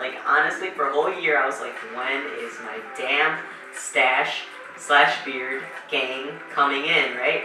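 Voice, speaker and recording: With music in the background and audible room echo, a man speaks fairly slowly in a fairly high pitch. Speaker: vlogger. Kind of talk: casual vlog. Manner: casual, hesitant with fillers.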